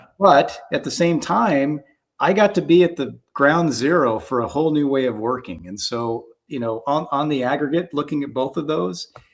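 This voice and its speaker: A man with an American accent and an unremarkable speaking voice, fairly high in pitch, with lively intonation at a moderate pace, on a very clean recording with a silent background. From US West Coast, Southern California (Orange County). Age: 60s. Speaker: film matte painter. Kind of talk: interview. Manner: conversational.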